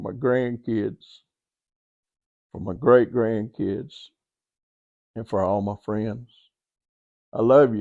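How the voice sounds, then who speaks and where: A man with a Southern US accent speaks very slowly, pausing long and often. His medium-pitched voice has a dark, mellow tone and big swings in loudness, set against a quiet background. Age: 70s. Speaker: podcast host and author. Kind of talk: motivational talk. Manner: animated.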